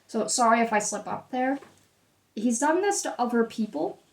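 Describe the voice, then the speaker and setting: A woman speaks at a fairly high pitch and a moderate pace. Her intonation is lively. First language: Dutch. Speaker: tarot reader. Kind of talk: tarot reading.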